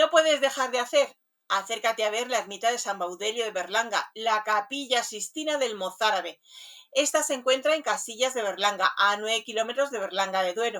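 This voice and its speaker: A woman talks at a fairly high pitch and a fairly quick pace, her pitch varying in an ordinary way. Her tone is bright and sharp. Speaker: radio host. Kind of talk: radio show presentation.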